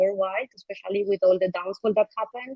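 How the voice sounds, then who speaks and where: Dry and close with no echo, the recording has a woman talking at a very fast pace. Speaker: foundation team member presenting community and regulatory work. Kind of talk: online event presentation. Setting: livestream with chat comments.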